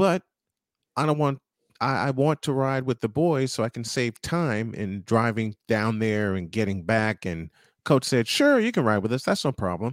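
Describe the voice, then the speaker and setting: In a very clean recording with a silent background, a man talks at a moderate pace in an ordinary speaking voice of medium pitch. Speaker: sports radio host. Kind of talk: casual interview, talk show. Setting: studio, broadcast live.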